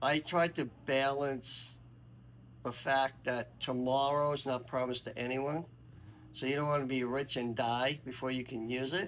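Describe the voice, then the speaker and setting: An ordinary speaking voice from a man at a medium pitch, with fairly even intonation and a moderate pace. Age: 60s. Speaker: senior interviewee. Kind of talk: casual interview.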